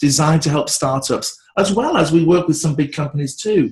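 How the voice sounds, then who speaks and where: Speaking with a fairly high pitch, the man keeps a moderate pace. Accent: British. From England. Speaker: branding expert. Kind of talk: interview. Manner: animated.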